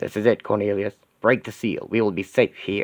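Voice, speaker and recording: A put-on character voice from a man, fairly low in pitch, at a moderate pace, with a dry, close sound and no echo. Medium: audio drama. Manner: imperious, scornful.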